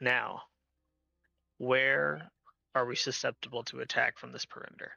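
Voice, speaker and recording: A man puts on a raspy character voice. He keeps a moderate pace with big swings in loudness. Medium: actual play. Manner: measured, solemn.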